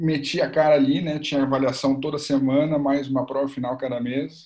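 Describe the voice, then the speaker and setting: Speaking at medium pitch and a moderate pace, a man has an unremarkable speaking voice. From Porto Alegre, Rio Grande do Sul, Brazil. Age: 20s. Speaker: football coach and master's student. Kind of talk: casual interview chat.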